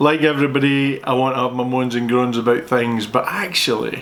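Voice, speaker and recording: A man's voice comes through with audible room echo and noticeable background noise. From Scotland. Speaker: accountant answering viewer questions. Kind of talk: casual Q&A chat. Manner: talkative, playful.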